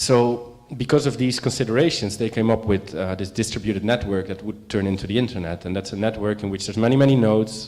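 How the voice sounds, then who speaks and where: A man speaks at a very fast pace with a fairly low pitch. His intonation stays fairly even. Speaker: panel speaker. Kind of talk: lecture. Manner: halting.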